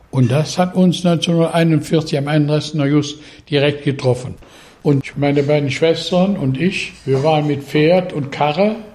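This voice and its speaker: A man speaks at a fairly slow pace in a fairly high, somewhat breathy voice. His pitch varies in an ordinary way. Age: 80s+. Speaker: farmer, local resident. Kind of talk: interview.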